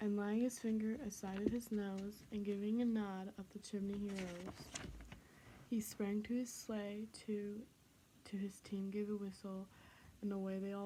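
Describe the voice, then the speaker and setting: A woman whispering, soft-spoken and somewhat breathy. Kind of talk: children's book and poem reading. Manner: soft-spoken, whispery.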